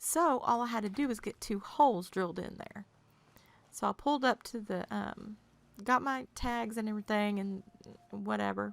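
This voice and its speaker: A woman with an American accent, fairly high-pitched, at a moderate pace. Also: ordinary pitch variation. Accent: Southern US accent, stronger when tired. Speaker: video game streamer. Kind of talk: casual chat. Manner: animated.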